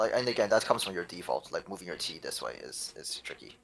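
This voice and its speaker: Over noticeable background noise, the speech goes at a very fast pace. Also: man. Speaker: Tetris coach. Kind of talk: coaching session. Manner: halting, many fillers.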